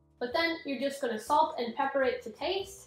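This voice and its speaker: A woman talks at a fairly quick pace in a high pitch. Audible room echo and music in the background surround her voice. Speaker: cooking channel creator. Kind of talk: cooking tutorial. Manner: poor enunciation.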